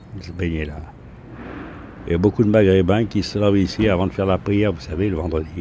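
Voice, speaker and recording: Noticeable background noise surrounds a man speaking at a fairly quick pace. His voice is very deep and low, with fairly even intonation. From Lyon, France. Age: 60s. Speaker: retiree, bath-house user. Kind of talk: interview.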